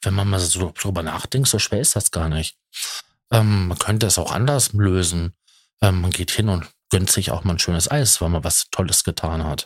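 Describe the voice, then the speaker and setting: Somewhat breathy, a man with a very deep, low pitch talks at a moderate pace with ordinary pitch variation, in a dry, close sound with no echo and a very clean recording with a silent background. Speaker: podcaster. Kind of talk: personal monologue. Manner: halting. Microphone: good microphone.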